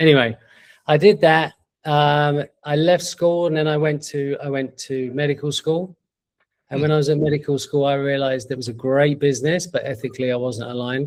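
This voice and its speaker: In a London accent, a man with fairly high pitch speaks at a moderate pace with fairly even intonation. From East London, England. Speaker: entrepreneur. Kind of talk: interview. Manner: halting.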